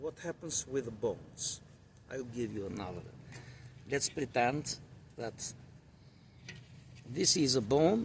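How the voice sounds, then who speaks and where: Somewhat breathy at a medium pitch, a man speaks at a fairly slow pace with lively intonation and long, frequent pauses. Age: 60s. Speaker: weightlifting coach. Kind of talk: educational talk.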